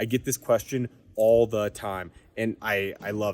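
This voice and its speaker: A man's fairly low voice holds a fairly even intonation. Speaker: real estate investor and show host. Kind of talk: talking-head educational monologue. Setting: outdoors on a mountaintop. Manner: fast.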